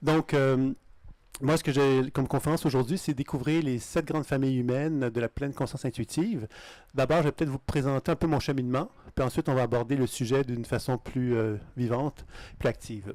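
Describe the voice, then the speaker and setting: This man has a Canadian French accent and a medium pitch, speaking at a fairly quick pace with fairly even intonation. The recording is very clean, with a silent background. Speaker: intuition teacher. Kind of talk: lecture. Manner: fast; halting.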